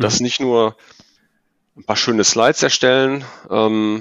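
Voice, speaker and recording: A man's fairly low-pitched voice at a moderate pace, with fairly even intonation. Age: 40s. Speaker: ERP consultant. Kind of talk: podcast interview. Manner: hesitant, many fillers.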